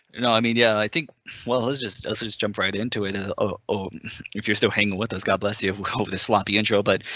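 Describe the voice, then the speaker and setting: Delivered at a very fast pace, the speech has fairly even intonation. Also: man, fairly low pitch for a man. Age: 20s. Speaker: gaming podcast co-host. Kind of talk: casual chat.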